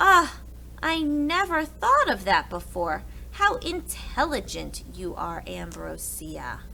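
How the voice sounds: Slowly and with big pitch swings, a woman does a put-on character voice at medium pitch with vocal fry.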